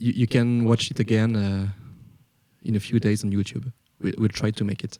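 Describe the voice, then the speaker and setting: A man with a non-native accent speaks at a fairly low pitch in a dark, mellow tone, with monotone, flat intonation. His pace is moderate with long, frequent pauses, and the sound is dry and close with no echo. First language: not English. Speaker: metal band musician. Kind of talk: live stream chat with viewers. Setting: live stream on Twitch. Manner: halting, searching for words.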